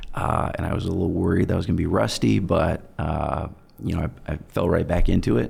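Over noticeable background noise, a man with a very deep, low pitch talks at a fairly quick pace with lively intonation. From Germany, US military family. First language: German. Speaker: personal injury attorney. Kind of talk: interview.

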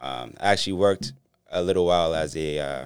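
A man with an American accent speaks at a very deep, low pitch, with vocal fry and ordinary pitch variation. The recording is very clean, with a silent background. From Boston, Dorchester. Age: 40s. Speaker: nightlife event promoter and brand representative. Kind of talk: casual chat.

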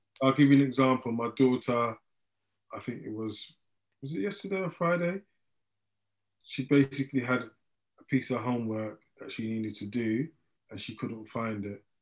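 At a moderate pace with long, frequent pauses, a man of medium pitch talks with ordinary pitch variation and big swings in loudness. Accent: London. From London, Hackney. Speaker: mindfulness teacher. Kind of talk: interview.

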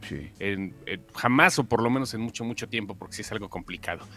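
With music in the background, a man speaks at a moderate pace with a Mexican accent. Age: 40s. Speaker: pop culture commentator. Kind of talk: casual chat.

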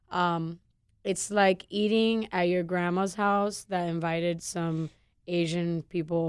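A woman's fairly low-pitched, a normal speaking voice, with fairly even intonation, on a very clean recording with a silent background. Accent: American. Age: 20s. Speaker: chef and restaurant owner. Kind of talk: casual interview. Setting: studio.

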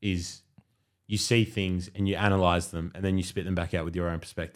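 Heard on a very clean recording with a silent background, a man with a very deep, low pitch speaks quickly with an Australian accent, his pace fairly quick. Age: 20s. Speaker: podcast host. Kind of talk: casual chat.

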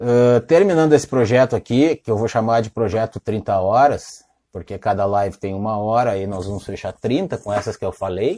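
A man with a dark, mellow tone and medium pitch speaks in a dry, close recording with no echo and a quiet background. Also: ordinary pitch variation, moderate pace, hardly any pauses. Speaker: lawyer hosting livestream interviews. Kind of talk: casual livestream interview. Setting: home office livestream.

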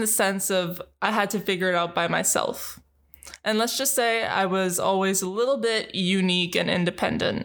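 Recorded very cleanly with a silent background, a woman of medium pitch talks at a moderate pace with ordinary pitch variation. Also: very even loudness. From Northern Ontario, Canada (French Canadian). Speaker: podcast host. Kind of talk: personal storytelling monologue. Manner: upbeat, animated.

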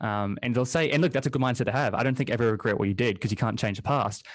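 A man's medium-pitched voice with a New Zealand accent, a very fast pace, and ordinary pitch variation. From New Zealand, small town. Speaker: podcast host. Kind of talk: interview.

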